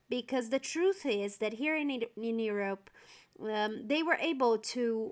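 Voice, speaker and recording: A woman in a Portuguese accent at a fairly slow pace. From Brazil. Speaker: event planner. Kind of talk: casual interview.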